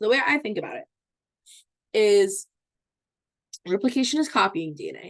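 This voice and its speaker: This is a woman speaking. Her pitch is fairly high. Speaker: teacher. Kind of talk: lecture. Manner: fast; casual, many fillers like okay.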